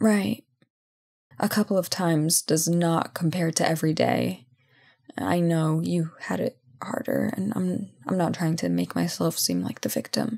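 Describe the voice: A put-on character voice with vocal fry, a slightly husky edge, a slightly mellow tone, lively intonation and a fairly slow pace. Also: woman, low pitch for a woman.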